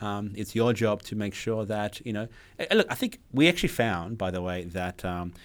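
On a very clean recording with a silent background, a man speaks fairly quickly at a fairly low pitch with ordinary pitch variation. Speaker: podcast host, cloud solution architect. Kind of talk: casual tech chat. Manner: animated.

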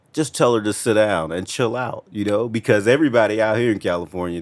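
With an ordinary speaking voice, a man talks at a fairly quick pace using ordinary pitch variation. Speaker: podcast co-host. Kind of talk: casual chat.

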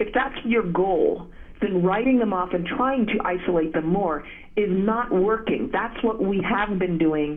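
Noticeable background noise and audible room echo fill the recording. A woman speaks with medium pitch, ordinary pitch variation and very even loudness. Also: fairly slow pace. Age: 40s. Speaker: journalist and author. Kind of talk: interview. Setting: phone call.

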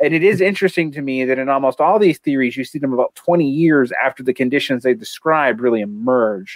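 Lively intonation and a slight Southern US accent come through at a fairly quick pace with hardly any pauses, in a dry, close sound with no echo. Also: man, fairly high pitch for a man. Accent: southern American, slight. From US South. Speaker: political theory podcast co-host. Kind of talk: casual discussion and reading aloud of a text.

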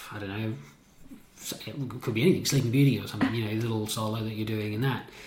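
Somewhat breathy, the man's voice sits at a fairly low pitch. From Sydney, Australia. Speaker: ballet dancer. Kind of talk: casual interview.

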